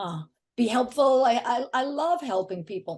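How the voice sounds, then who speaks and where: A woman speaks at a fairly slow pace. Her fairly high pitch moves in lively intonation. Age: 60s. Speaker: affiliate marketer and author. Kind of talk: podcast interview.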